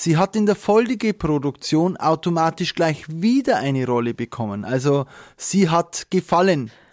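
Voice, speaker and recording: The voice makes very wide pitch swings in a very clean recording with a silent background. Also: man. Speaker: wedding officiant. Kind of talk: casual chat.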